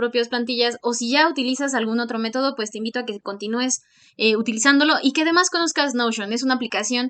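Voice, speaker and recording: A woman speaks very fast in a high, bright, sharp voice. She has a Mexican accent. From Mexico. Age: 20s. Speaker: medical student and YouTuber. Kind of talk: tutorial. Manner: hesitant, many fillers.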